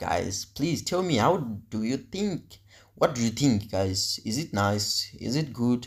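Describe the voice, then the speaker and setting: On a very clean recording with a silent background, a man of medium pitch speaks very slowly, somewhat breathy, with lively intonation. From Africa. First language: African local language. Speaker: vlogger. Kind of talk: casual vlog narration. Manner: halting.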